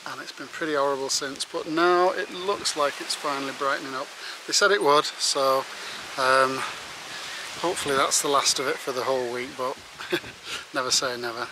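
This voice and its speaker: A man talks at a fairly quick pace with fairly even intonation, in a dry sound with no echo and noticeable background noise. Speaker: hiker vlogger. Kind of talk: casual vlog chat. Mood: cheerful, chatty. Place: open country. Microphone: phone near.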